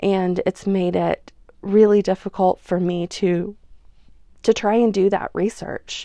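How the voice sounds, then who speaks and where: A woman's medium-pitched, dark, mellow voice with a slight Oklahoma accent, monotone and flat, at a fairly slow pace, in a dry, close sound with no echo over a quiet background. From Oklahoma, US. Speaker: podcast host. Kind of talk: casual monologue; reading aloud of personal essay.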